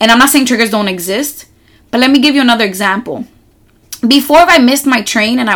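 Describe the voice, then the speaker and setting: An unremarkable speaking voice from a woman with an American accent, fairly high in pitch, with lively intonation at a fairly quick pace. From New York City. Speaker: podcast host. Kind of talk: solo podcast monologue.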